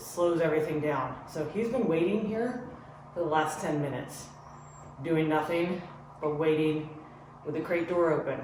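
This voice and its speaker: A calm tone at a moderate pace amid noticeable background noise. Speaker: dog trainer. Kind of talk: tutorial. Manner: calm, lowered voice.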